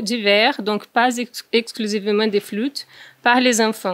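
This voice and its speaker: Speaking at a fairly slow pace, a woman with a Brazilian accent uses a fairly high pitch and fairly even intonation. The sound is dry with no echo, and the background is quiet. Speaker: researcher. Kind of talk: conference presentation. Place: meeting room. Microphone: podium.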